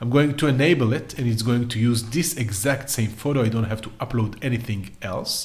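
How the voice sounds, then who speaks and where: A man's somewhat breathy voice at medium pitch, with ordinary pitch variation and audible room echo. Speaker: AI art tutorial creator. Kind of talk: tutorial.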